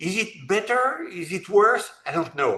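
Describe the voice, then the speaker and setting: With a French accent, a man speaks in a high voice with a bright, sharp tone and lively intonation. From France. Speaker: robotics entrepreneur. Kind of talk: interview. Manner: halting.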